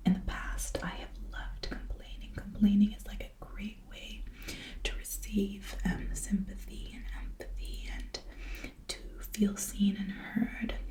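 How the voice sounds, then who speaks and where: Whispering and soft-spoken, a woman talks at a fairly slow pace with big swings in loudness over noticeable background noise. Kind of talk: whispered reading and rambling for sleep. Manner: whispered, soft-spoken.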